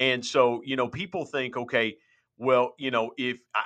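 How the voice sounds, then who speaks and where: A man talks at a moderate pace in medium pitch. His is an unremarkable speaking voice. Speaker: minister and podcaster. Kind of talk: testimony. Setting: remote call.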